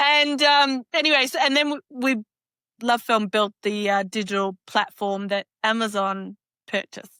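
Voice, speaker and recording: A woman with an Australian accent, fairly high pitch, ordinary pitch variation and a bright, sharp tone at a moderate pace, in a dry, close sound with no echo on a very clean recording with a silent background. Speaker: fractional CFO, business founder. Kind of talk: podcast interview.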